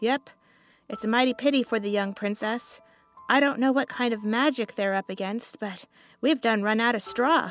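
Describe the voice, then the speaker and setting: A put-on character voice, female-sounding, gruff and fairly high-pitched, at a moderate pace over faint music in the background. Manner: gossipy, folksy.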